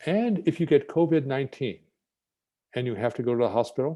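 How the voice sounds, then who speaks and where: This man has a medium pitch and a dark, mellow tone, with an American accent. He speaks at a fairly quick pace against a quiet background. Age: 70s. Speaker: scientist. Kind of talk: lecture.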